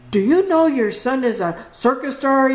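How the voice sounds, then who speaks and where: A woman puts on a character voice and speaks at a moderate pace. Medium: read story.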